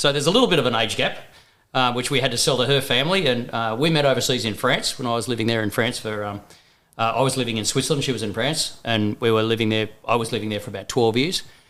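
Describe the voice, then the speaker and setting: A man talks at a very fast pace in an Australian accent. His pitch sits in the medium range. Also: ordinary pitch variation. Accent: thick Australian. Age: 50s. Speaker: first-time father. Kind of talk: casual chat.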